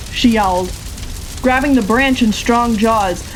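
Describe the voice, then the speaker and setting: At a moderate pace, a woman speaks in a fairly high voice with ordinary pitch variation over noticeable background noise. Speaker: audiobook narrator. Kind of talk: audiobook narration.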